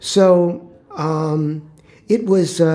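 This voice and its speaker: A man with an American accent speaks with fairly even intonation over noticeable background noise. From Chicago, US Midwest. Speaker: former public housing resident, interviewee. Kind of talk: oral history interview. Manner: halting, many fillers.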